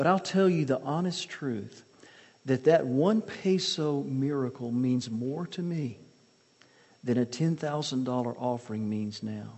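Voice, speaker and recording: Using a Southern US accent, a man speaks at a very slow pace with a medium pitch and lively intonation. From US South (Mississippi). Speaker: missionary and author. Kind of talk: sermon. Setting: church.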